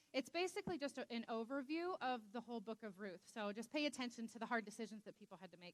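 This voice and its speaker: A woman speaks very fast in a fairly high voice, with hardly any pauses. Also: big swings in loudness, dry, close sound with no echo. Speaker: preacher. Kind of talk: sermon.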